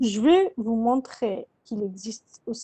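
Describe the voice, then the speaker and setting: A woman at a very slow pace with lively intonation. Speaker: university lecturer. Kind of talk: lecture.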